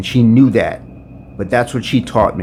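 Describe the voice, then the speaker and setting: Noticeable background noise sits behind this recording. The man's voice falls at a medium pitch. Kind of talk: freestyle spoken word poem.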